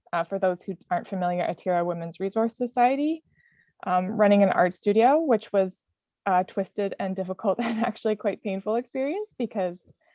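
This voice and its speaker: A woman's normal speaking voice in a Canadian accent, medium in pitch with ordinary pitch variation, at a fairly quick pace. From Canada. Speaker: community worker. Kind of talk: panel talk from notes. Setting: video call.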